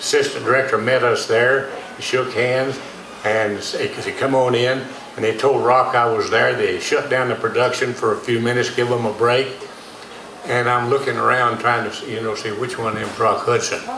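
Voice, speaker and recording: A man with a Texan accent talks at a moderate pace amid noticeable background noise and audible room echo. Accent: Texan accent, dropped G's and heavy R's. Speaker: actor and dialect coach telling stories. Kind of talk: storytelling interview. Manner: folksy, animated.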